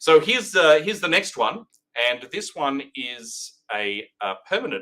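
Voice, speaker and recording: This man has an Australian accent and a bright, sharp tone. His pitch swings very widely. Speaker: recruitment company director hosting a live update. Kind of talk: live-streamed market update. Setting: live stream. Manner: hesitant, many fillers.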